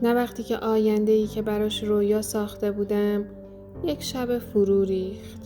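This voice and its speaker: A woman's calm, gentle, medium-pitched voice in monotone, flat intonation, with music in the background. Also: moderate pace. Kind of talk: reflective healing podcast narration.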